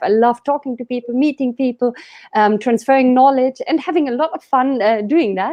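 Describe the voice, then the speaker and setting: Woman with a high pitch, lively intonation and a moderate pace. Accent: German. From Germany. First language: German. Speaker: business coach. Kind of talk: interview.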